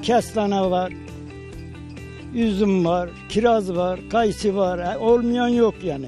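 Over clear background music, a man with a high pitch speaks at a very slow pace with long, frequent pauses and ordinary pitch variation, in a dry sound with no echo. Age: 80s+. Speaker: farmer living alone on island. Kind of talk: interview answer. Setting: outdoors. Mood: calm, content, somewhat wistful. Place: open country. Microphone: handheld.

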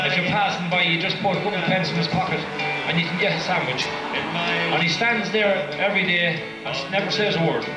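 A man speaks at a fairly quick pace. Clear music plays in the background, and room echo is audible. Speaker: parade announcer on stage. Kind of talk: live event commentary. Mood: cheerful, joking. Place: street.

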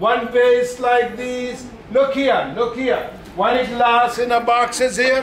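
Monotone, flat intonation at a very slow pace with audible room echo and light background noise. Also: man. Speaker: glass shop salesman. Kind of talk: sales talk to tour group. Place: shop. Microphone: camera far.

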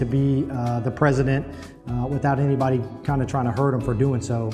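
Music plays in the background as a man speaks at medium pitch with a Midwestern American accent. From Ohio. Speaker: Marine master sergeant. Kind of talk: video letter reply to a child. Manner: casual, friendly, hesitant.

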